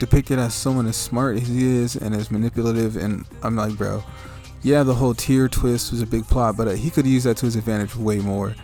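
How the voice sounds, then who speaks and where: Music plays in the background behind a man. He talks at a fairly quick pace with a medium pitch. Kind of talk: casual unscripted game review commentary. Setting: home mic without pop filter. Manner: rambling.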